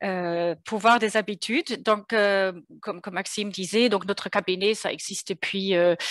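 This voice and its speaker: The speaker has a slight German accent and fairly even intonation. The pace is moderate and the background quiet. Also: woman, medium pitch for a woman. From Germany. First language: German (speaking French). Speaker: consulting firm co-founder. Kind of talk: webinar presentation. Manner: hesitant, many fillers.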